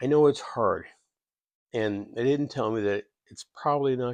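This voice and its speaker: The speech comes at a fairly slow pace, with a dry, close sound, no echo and a quiet background. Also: man. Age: 60s. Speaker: military veteran and software worker sharing life story. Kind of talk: personal testimony vlog. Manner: halting, many repeated words.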